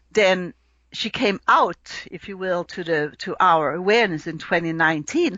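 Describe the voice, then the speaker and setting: A woman's medium-pitched voice with a slight Swedish accent, moderate pace, ordinary pitch variation, and big swings in loudness. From Sweden. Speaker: astrologer. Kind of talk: podcast interview.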